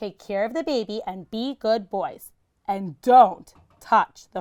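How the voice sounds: A natural reading voice carries ordinary pitch variation. Behind it, the background stays quiet.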